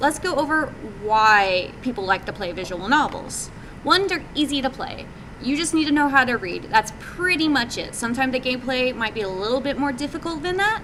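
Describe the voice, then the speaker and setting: A woman with a high pitch speaks at a moderate pace in a raised, projected voice, her pitch swinging very widely. Noticeable background noise runs underneath. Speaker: game developer presenting at a meetup. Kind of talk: presentation talk. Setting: live meetup audience. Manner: many fillers (um, uh).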